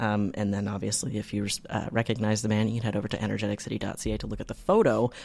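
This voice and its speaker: In a Canadian accent, a man talks at a very fast pace with hardly any pauses, his fairly low voice showing vocal fry and fairly even intonation. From Canada. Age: 20s. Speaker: podcast co-host. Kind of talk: casual chat. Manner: halting, many fillers.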